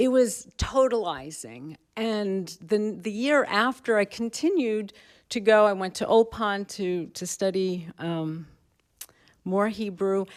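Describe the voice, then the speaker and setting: On a very clean recording with a silent background, a woman with a New York accent talks at a very slow pace in a medium pitch, with ordinary pitch variation. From New York, Brooklyn. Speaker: professor. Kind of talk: panel talk. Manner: halting.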